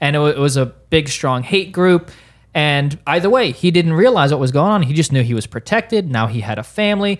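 In a very clean recording with a silent background, a man with a fairly high voice talks at a fairly quick pace with lively intonation. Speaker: pastor. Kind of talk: casual podcast discussion about Bible study. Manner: hesitant, many filler ums.

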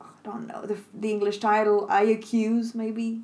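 Here a woman talks at a moderate pace, her pitch fairly high. She has a plain, everyday voice. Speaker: co-host, frequent guest. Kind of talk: casual chat.

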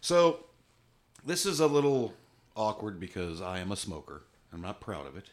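A man with a fairly low pitch, moderate pace, very wide pitch swings, and long, frequent pauses, in a very clean recording with a silent background. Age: 50s. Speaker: podcast host. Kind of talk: casual chat.

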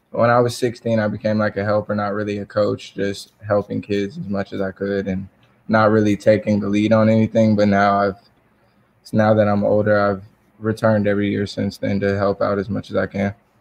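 A fairly low-pitched man with an American accent, fairly quick and monotone, with flat intonation. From US South, South Georgia. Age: 20s. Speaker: college basketball player. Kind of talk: interview.

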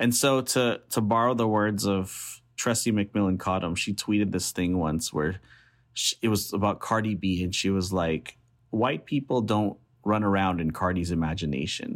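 A normal speaking voice with an American accent, moderate pace and ordinary pitch variation, in a very clean recording with a silent background. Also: man, fairly low pitch for a man, very even loudness. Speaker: professor and author. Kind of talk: interview about his book, casual and conversational.

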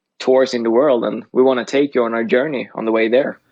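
At a moderate pace, a man speaks at a medium pitch. His intonation is fairly even. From Sweden. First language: Swedish. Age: 20s. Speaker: podcast co-host and college golfer. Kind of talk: casual chat.

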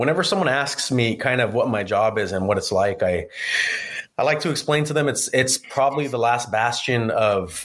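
Against noticeable background noise, a man of medium pitch talks at a moderate pace with ordinary pitch variation. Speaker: auto dealership service director. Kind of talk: casual chat. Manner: laid-back, joking.

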